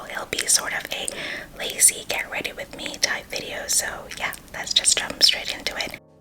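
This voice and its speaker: Over noticeable background noise, a woman whispers at a moderate pace. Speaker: beauty and sustainability content creator. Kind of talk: ASMR makeup talk-through tutorial. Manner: whispered, soft-spoken.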